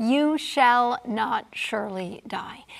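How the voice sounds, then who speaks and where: A woman speaks with a high voice. Her intonation is lively. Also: quiet background. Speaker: panel discussion leader. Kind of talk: Bible study lecture. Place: studio. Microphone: lapel.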